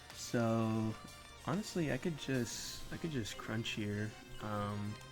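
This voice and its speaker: Music plays in the background as a man speaks at medium pitch. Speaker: Pokemon draft league player. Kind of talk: gameplay commentary. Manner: hesitant, many filler words.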